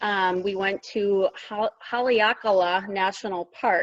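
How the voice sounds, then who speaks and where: In a dry, close recording with no echo, a woman talks with a Minnesotan accent. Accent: Minnesota. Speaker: teacher assistant. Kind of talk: casual interview.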